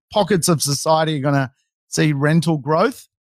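Recorded very cleanly with a silent background and a dry, close sound free of echo, a man with an Australian accent speaks at a fairly high pitch. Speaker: real estate educator, livestream host. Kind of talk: casual livestream Q&A.

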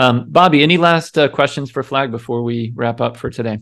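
A man with an American accent talks at a moderate pace in a normal speaking voice, medium in pitch with ordinary variation, on a very clean recording with a silent background. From United States. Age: 40s. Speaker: podcast host. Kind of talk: casual chat.

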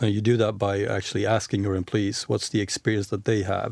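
A man with a fairly low pitch and a slight Swedish accent, in a very clean recording with a silent background. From Sweden. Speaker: managing director of an employer branding firm. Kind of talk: interview.

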